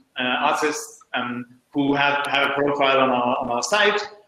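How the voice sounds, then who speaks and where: Audible echo from the room hangs around the voice. The man speaks fairly high in his range. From Denmark. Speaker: music streaming company founder. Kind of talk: panel introduction. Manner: hesitant, many fillers.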